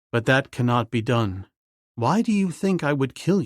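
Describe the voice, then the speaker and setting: A growling, put-on character voice from a man at medium pitch and moderate pace, on a very clean recording with a silent background. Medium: read story. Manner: calm, plain-spoken.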